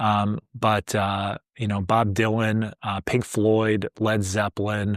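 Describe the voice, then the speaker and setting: This is a very clean recording with a silent background and a dry, close sound with no echo. A man with an American accent speaks at a fairly low pitch. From US Midwest, Chicago area. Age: 40s. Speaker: YouTuber, vinyl collector. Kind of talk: casual vlog monologue. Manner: casual, with frequent fillers.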